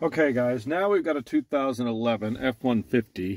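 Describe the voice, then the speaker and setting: The recording of a man's voice has a dry sound with no echo. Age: 50s. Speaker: auto mechanic. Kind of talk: tutorial. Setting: in a car. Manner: casual. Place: car. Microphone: phone near.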